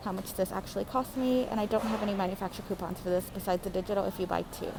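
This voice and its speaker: A woman of medium pitch talks very fast, with noticeable noise in the background. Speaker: couponing vlogger. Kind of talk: casual vlog tutorial. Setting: at home.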